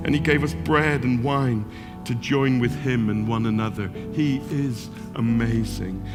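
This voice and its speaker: Music plays in the background as a man talks at a fairly slow pace with lively intonation. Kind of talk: sermon, spoken word piece. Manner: rhythmic, building repetition.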